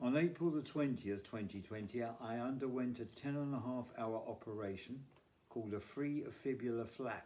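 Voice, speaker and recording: A man's medium-pitched voice with a British accent and a dark, mellow tone, at a moderate pace with ordinary pitch variation. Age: 70s. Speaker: cancer survivor and charity fundraiser. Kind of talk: charity appeal, scripted monologue. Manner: formal.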